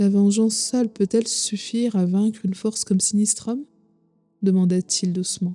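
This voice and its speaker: With music in the background, a woman speaks at a moderate pace and medium pitch in a monotone, flat intonation. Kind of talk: sleep story.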